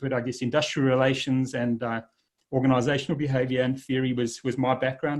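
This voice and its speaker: With a South African accent, a man talks at a fairly quick pace. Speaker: leadership speaker, former army officer. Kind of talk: presentation talk. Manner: halting, with fillers.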